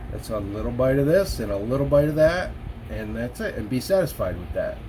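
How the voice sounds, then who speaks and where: Noticeable background noise is heard along with audible room echo. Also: man. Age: 40s. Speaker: vlogger sharing weight-loss surgery experience. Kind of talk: casual vlog monologue. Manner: halting, many fillers and restarts.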